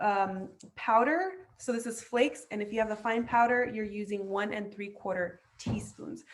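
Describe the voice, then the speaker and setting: Using a normal speaking voice, a woman talks at a fairly slow pace and a fairly high pitch. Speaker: chef and cooking teacher. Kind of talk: online cooking class. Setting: video call.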